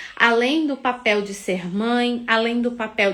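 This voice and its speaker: A woman with a fairly high voice talks very slowly, her pitch moving in an ordinary way. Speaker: mentor. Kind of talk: guided meditation; live stream talk. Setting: live stream.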